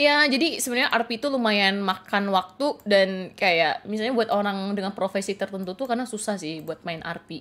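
A woman at a medium pitch talks fairly quickly with lively intonation and hardly any pauses. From Aceh, Indonesia. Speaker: gaming streamer. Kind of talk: live game stream commentary. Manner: casual, chatty.

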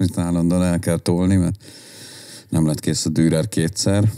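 Over a quiet background, a man speaks with a very deep, low pitch. His tone is dark and mellow. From Budapest, Hungary. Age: 40s. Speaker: hardcore musician and concert organizer; podcast guest. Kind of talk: casual chat. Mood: relaxed, enthusiastic. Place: home room. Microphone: studio mic.

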